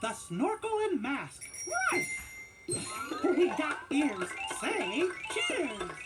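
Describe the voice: Putting on a character voice, a man speaks at a very slow pace with an extremely high pitch, very wide pitch swings and a fairly bright tone while faint music plays in the background.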